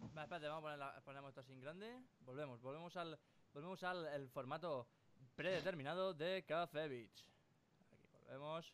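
At a fairly quick pace, a man speaks in a fairly high pitch with ordinary pitch variation and big swings in loudness. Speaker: podcast host and streamer. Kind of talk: casual chat. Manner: animated.

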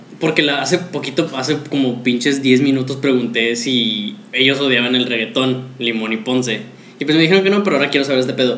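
With lively intonation and a fairly quick pace, the speaker comes through audible room echo and noticeable background noise. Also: man. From Mexico City. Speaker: podcast host. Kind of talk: casual chat.

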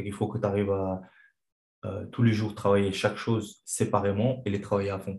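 A man speaks at a fairly quick pace, somewhat breathy. His pitch is fairly low and his intonation monotone and flat. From Chechnya. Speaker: kickboxing coach and former fighter. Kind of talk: interview. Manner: halting.

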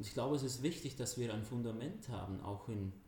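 With a Swiss accent, the speaker has a dark, mellow tone, a somewhat breathy quality and ordinary pitch variation. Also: man. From Switzerland, Zurich area. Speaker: church youth ministry worker. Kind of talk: interview. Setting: standing together in person.

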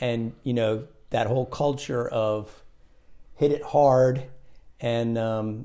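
A man talks at medium pitch with ordinary pitch variation, leaving long, frequent pauses. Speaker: podcast guest, host's father. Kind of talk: casual chat.

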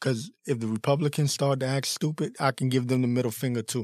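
A man with an American accent, medium pitch and ordinary pitch variation, at a very fast pace, in a dry, close sound with no echo. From Washington, D.C. area. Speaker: political commentary podcaster. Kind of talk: opinion monologue. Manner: animated.

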